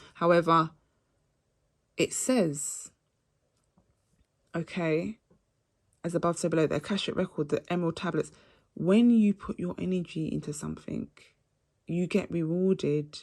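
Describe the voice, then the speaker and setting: Long, frequent pauses run through a woman's speech at a fairly low pitch with ordinary pitch variation. The recording is very clean, with a silent background. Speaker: astrology reader. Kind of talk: astrology reading monologue. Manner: fast; animated.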